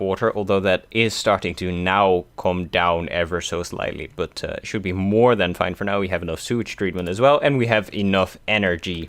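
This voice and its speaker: A man speaks with a Dutch accent at a moderate pace, his pitch fairly low with ordinary variation. The recording is very clean, with a silent background. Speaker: gaming youtuber. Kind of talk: let's play commentary. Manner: casual, hesitant with many fillers.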